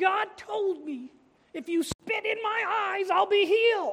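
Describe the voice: In a put-on character voice, a female-sounding speaker talks at a fairly slow pace with extremely high pitch.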